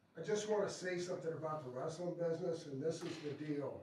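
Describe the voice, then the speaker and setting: An American accent with audible room echo. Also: man. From Florida, Tampa. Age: 70s. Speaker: retired pro wrestler. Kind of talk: talk to an audience.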